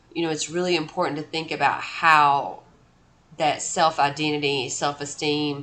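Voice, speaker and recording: A woman speaks at a fairly slow pace, her very deep, low pitch held in a flat monotone. Room echo is audible. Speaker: college instructor. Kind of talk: lecture. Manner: casual with many fillers.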